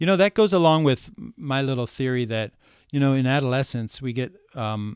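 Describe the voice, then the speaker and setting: The recording is very clean with a silent background and a dry, close sound with no echo. A man with an American accent has a plain, everyday voice at medium pitch, a moderate pace and lively intonation. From US Midwest, rural Ohio. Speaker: men's issues speaker. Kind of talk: casual chat.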